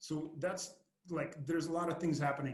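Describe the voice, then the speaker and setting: A man with a Lithuanian accent, somewhat breathy and very fast. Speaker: podcast host and marketing agency owner. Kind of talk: podcast interview. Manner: halting, with frequent repetitions and fillers.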